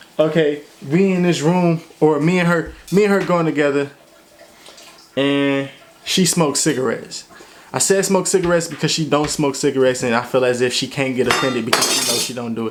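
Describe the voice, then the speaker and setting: Noticeable background noise runs under the recording. Over it, a man speaks at a fairly high pitch. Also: ordinary pitch variation. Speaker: vlogger. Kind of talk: casual chat. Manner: halting.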